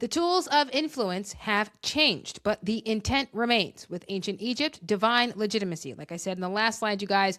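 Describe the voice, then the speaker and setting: A woman with an American accent, fairly high pitch, an animated, bright and sharp tone, lively intonation and hardly any pauses, on a very clean recording with a silent background. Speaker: personal finance commentator. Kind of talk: vlog commentary with slide reading. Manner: fast.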